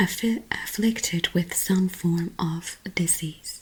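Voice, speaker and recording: Soft-spoken and gentle in tone, a woman talks with ordinary pitch variation against noticeable background noise. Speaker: ASMR creator. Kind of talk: soft-spoken book reading for sleep. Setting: close-mic home recording. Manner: soft, gentle, relaxing.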